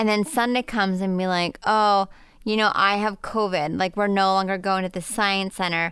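Delivered at a moderate pace, an ordinary speaking voice carries fairly even intonation. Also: woman, medium pitch for a woman. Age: 40s. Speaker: podcast co-host and parent. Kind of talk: casual chat.

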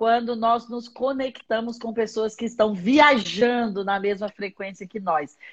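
A woman with an unremarkable speaking voice, fairly high-pitched, at a fairly slow pace with fairly even intonation against a quiet background. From Minas Gerais, Brazil (Patos de Minas). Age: 40s. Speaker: bishop and pastor. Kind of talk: religious teaching in a live-stream interview. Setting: live stream video call.

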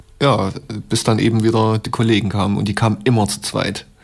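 The speaker is a man at medium pitch. His pace is fairly quick. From Leipzig, East Germany. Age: 30s. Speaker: hip-hop producer. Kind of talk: interview for radio feature.

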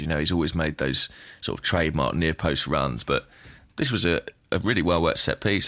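With a British accent, a man speaks at a fairly quick pace in a very deep, low pitch with vocal fry. The recording is very clean, with a silent background. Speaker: podcast host. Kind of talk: casual chat. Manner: hesitant, dry humour.

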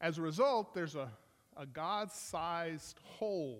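This man speaks with lively intonation at a fairly high pitch. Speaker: missionary preacher. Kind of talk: sermon. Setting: church. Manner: loud.

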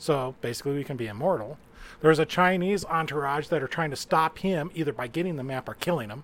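On a very clean recording with a silent background, a man with an American accent talks at a very fast pace, fairly high in pitch, with ordinary pitch variation. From Utah. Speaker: game writer and reviewer. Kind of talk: casual chat.

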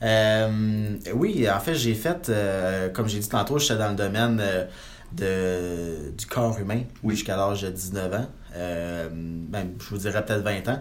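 Room echo is clearly audible as a man talks very slowly. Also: fairly low pitch for a man, ordinary pitch variation. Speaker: real estate investor and broker. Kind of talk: interview.

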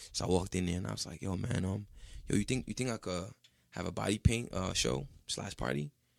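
In a very clean recording with a silent background, a man with an American accent talks at a fairly quick pace. His pitch is very deep and low, with vocal fry and lively intonation. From Ghana. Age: 20s. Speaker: painter and body artist. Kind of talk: casual chat.

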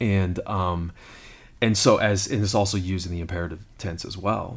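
A man's very deep, low voice sounds somewhat breathy and has ordinary pitch variation. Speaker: lead pastor. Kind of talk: casual conversational podcast discussing the Bible.

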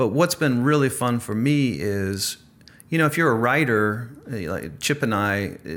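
With an American accent, a man speaks at a medium pitch, making very wide pitch swings. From US. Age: 40s. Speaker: author. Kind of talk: interview.

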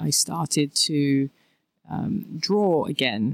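With a London accent, a woman speaks at a very deep, low pitch. The recording is very clean with a silent background, and the sound is dry and close with no echo. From southeast London, England. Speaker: artist. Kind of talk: interview. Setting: studio.

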